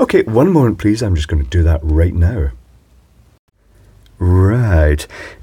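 Speaking at a fairly slow pace, a man with a low pitch and a dark, mellow tone makes big pitch swings, his voice carrying a husky, rough edge.

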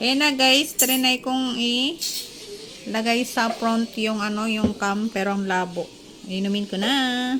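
Noticeable background noise surrounds a woman speaking very slowly. Her voice is fairly high, with ordinary pitch variation. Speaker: vlogger. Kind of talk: casual vlog with product review. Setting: at home during a power outage.

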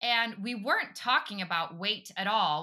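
A woman's bright, sharp, animated voice with lively intonation, at a moderate pace, against a quiet background. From Europe. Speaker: podcast host and physician assistant. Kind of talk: interview. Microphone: earbuds.

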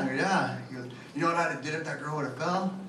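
A man speaks at a fairly high pitch in a nervous tone. Noticeable background noise runs behind him. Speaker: stand-up comedian. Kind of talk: stand-up comedy set, crude joke-telling. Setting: comedy club stage with audience laughter. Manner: rapid-fire, punchline-driven, casual and slangy, nervous first-timer. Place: bar. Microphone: pa.

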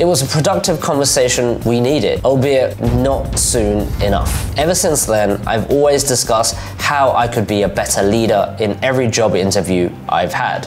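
A man speaks at a moderate pace with very even loudness over faint music in the background. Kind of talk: scripted vlog talk. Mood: reflective, candid. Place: home room. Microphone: lapel.

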